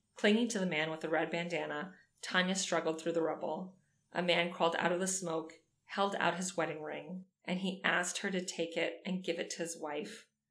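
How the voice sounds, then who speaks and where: Audible room echo surrounds a woman of fairly low pitch who speaks at a moderate pace with fairly even intonation. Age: 30s. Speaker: podcast co-host. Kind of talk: reading aloud; casual chat. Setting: in person at co-host's home.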